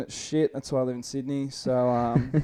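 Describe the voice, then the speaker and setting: A man with an Australian accent, his tone dark and mellow, his intonation flat and monotone. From Australia, NSW coast near Taree. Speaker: podcast co-host, board sports enthusiast. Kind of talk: casual chat.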